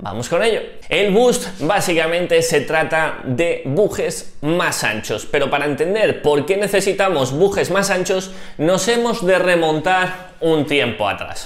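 This man talks at a fairly slow pace. Some room echo can be heard. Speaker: cycling youtuber. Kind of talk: tutorial. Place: home room. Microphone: lapel.

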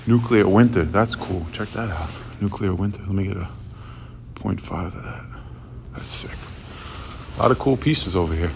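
Noticeable background noise sits behind a man's voice. He speaks at a moderate pace with a very deep, low pitch. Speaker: urban explorer vlogger. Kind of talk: casual vlog chat. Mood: excited, impressed. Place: tunnel cave. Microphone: phone near.

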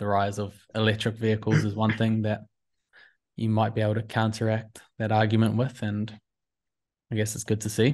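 A man speaks in a fairly low pitch. His tone is slightly mellow and his intonation is monotone and flat. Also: moderate pace.

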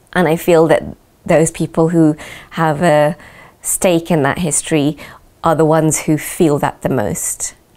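A woman speaks in a very deep, low pitch at a fairly slow pace. Her intonation stays monotone and flat. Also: very even loudness. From UK. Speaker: dancer and choreographer. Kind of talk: interview. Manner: hesitant, with fillers. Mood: calm, reflective. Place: home room.

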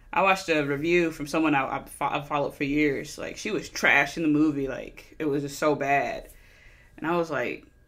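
A woman with a very deep, low pitch and a fairly quick pace. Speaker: movie reviewer. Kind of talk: casual review commentary. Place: home room. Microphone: studio mic.

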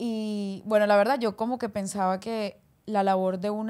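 Her tone is dark and mellow as this woman talks at a moderate pace. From Colombia, Barranquilla (Caribbean coast); Colombia. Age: 20s. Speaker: singer; guest. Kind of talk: casual interview chat. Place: studio. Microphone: studio mic.

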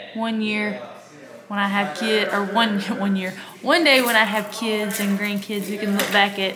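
A woman with fairly even intonation amid noticeable background noise. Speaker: vlogger. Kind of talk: casual vlog chat. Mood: cheerful, chatty. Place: home room. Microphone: phone near.

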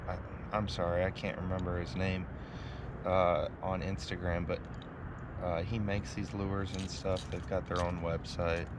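The sound is dry with no echo as a man talks at a fairly slow pace over noticeable background noise. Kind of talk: tutorial. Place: boat. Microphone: phone near.

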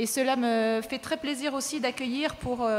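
A woman talks at a fairly slow pace with ordinary pitch variation over light background noise. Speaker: panel moderator. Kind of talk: conference introduction. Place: hall. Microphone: podium.

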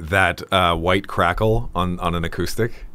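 With a bright, sharp tone, a man speaks low in pitch, fairly slowly, with fairly even intonation.

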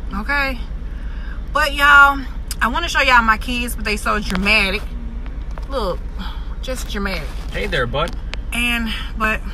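Against noticeable background noise, a woman speaks with long, frequent pauses in a dry sound with no echo. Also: moderate pace. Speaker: vlogger. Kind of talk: casual vlog chat. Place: car. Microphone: phone near.

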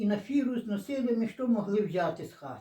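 A woman's somewhat breathy, dark, mellow tone at a moderate pace. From western Ukraine, Lviv region, Stryi district. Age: 80s+. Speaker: dialect informant. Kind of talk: oral history interview. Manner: halting.

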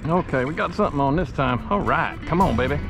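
Clear music plays in the background as a man speaks at a moderate pace. His voice sounds dry with no echo. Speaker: sailboat liveaboard vlogger. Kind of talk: excited fishing commentary. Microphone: phone near.

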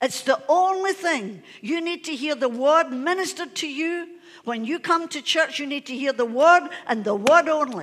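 A woman with a high pitch speaks at a moderate pace. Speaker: pastor. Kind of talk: sermon. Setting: church. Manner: animated. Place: church.

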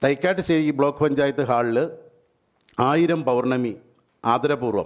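Ordinary pitch variation marks a man's voice, pitched fairly high. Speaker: event organiser. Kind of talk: event announcement statement. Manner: halting.

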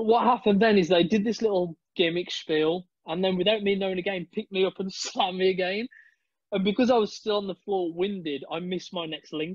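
Someone speaks with a British accent at a fairly quick pace and fairly even intonation, in a dry sound with no echo over a quiet background. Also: man, high pitch for a man. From UK. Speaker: esports and TV presenter. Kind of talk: casual interview chat. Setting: video call. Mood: animated, amused storytelling. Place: home room. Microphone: video call.

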